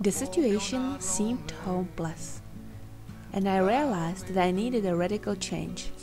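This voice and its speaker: A woman's voice moves at a moderate pace. Behind her, music plays in the background. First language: Czech. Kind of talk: personal digital story narration.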